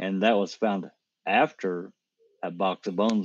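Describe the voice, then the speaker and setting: At a moderate pace, a man talks in a fairly low, monotone, flat voice, recorded dry and close with no echo. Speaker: panel researcher. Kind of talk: casual discussion. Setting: online video call.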